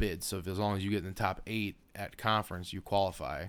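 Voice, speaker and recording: With an American accent and vocal fry, a man talks at a moderate pace in a very deep, low pitch with ordinary pitch variation. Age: 20s. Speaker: podcast co-host. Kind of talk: casual chat.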